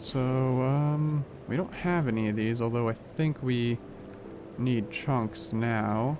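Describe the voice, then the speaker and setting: With noticeable background noise behind him, a man speaks at a very slow pace in a medium pitch, his loudness very even and his pitch varying in an ordinary way. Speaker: gaming youtuber. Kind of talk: let's play commentary.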